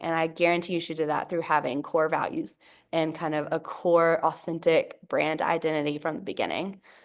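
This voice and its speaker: Against a quiet background, a woman talks in a plain, everyday voice at a moderate pace. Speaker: workshop presenter. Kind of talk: online workshop presentation.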